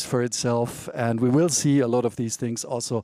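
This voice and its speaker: A man with a German accent talks at a moderate pace in a dark, mellow tone. The sound is dry and close with no echo, and the recording is very clean against a silent background. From Germany. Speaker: author and China expert. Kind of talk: panel discussion. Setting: conference stage. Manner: hesitant with many fillers.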